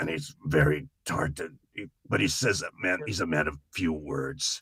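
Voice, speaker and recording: In a put-on character voice, a man sounds raspy and very deep, low in pitch, speaking at a moderate pace. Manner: gravelly, strained.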